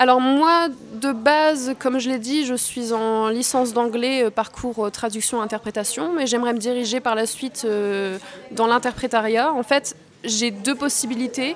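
A woman with a high pitch talks at a fairly slow pace, using ordinary pitch variation. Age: 20s. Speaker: actress and student. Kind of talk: interview. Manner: hesitant with fillers.

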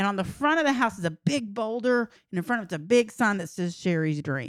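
A woman with a Texan accent speaks with lively intonation. The recording is very clean and dry, close, with no echo and a silent background. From Texas, rural San Saba area. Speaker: podcast co-host. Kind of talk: casual chat.

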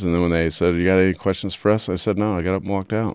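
The recording is dry and close with no echo, as a man with an American accent speaks in a very deep, low voice. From Utah. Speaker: police detective. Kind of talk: interview recollection.

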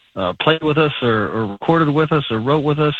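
He has an unremarkable speaking voice. The man moves at a fairly quick pace, his pitch varying in an ordinary way. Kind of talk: casual interview.

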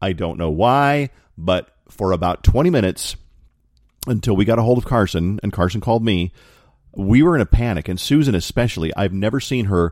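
A normal speaking voice: a man with an American accent, fairly low in pitch, fairly quick, with lively intonation, on a very clean recording with a silent background. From Colorado Springs, Colorado. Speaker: radio host. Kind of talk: casual monologue podcast.

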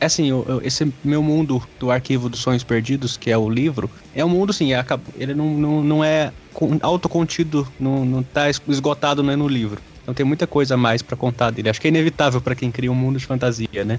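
Fairly quick and fairly even in intonation, a man's voice sits at a medium pitch. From Triângulo Mineiro, Minas Gerais (Uberaba). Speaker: novelist. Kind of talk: casual chat.

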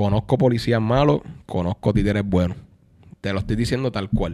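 In a Puerto Rican accent, the speech moves at a fairly quick pace on a very clean recording with a silent background. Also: man. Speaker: music producer and singer. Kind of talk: casual chat.

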